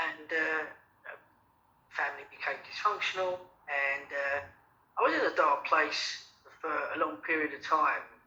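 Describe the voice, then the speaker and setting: At a moderate pace, a man in a Cockney accent talks with big swings in loudness and long, frequent pauses. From London, England. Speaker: radio show guest. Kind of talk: interview.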